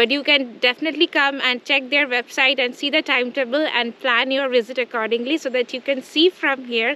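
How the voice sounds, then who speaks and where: With a raised, projected voice, a woman talks at a fairly quick pace. Her intonation stays fairly even, and the sound is dry with no echo. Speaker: travel vlogger. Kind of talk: travel vlog presentation. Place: open country.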